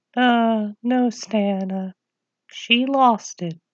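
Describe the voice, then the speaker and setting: A put-on character voice with fairly even intonation. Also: woman, fairly high pitch for a woman. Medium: comedy sketch.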